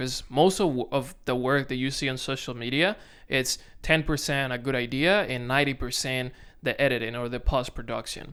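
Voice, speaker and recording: In a very clean recording with a silent background, a man with a Dominican accent speaks at a moderate pace in a medium pitch. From Dominican Republic. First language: Spanish. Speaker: content creator. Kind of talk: casual vlog to camera. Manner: halting, self-correcting.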